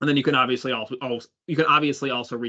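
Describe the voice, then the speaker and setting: A man talks in a bright, sharp tone. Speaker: head of product presenting a webinar. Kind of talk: product webinar presentation with Q&A. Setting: online webinar. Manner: fast; casual with frequent fillers.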